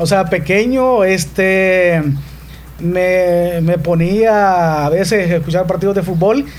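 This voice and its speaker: Noticeable background noise and audible room echo surround a man with a high pitch. He talks at a very slow pace with fairly even intonation. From El Salvador, Morazán. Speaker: sports journalist. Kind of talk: interview; live commentary. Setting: radio studio. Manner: articulate, announcer-like. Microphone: too far from the mic.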